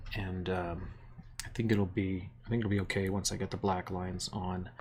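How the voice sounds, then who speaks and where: A man speaks softly at a moderate pace. His voice sits fairly low. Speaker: sculptor and art teacher. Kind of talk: live stream craft tutorial. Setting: live stream in workspace. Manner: soft-spoken; hesitant, many fillers.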